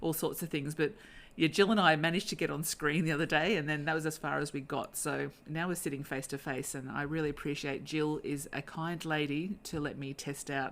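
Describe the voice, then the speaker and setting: A woman with a very deep, low pitch talks at a fairly quick pace with fairly even intonation, recorded very cleanly against a silent background. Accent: Australian. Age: 50s. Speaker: podcast host. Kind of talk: interview. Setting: face to face at home. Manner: hesitant with fillers.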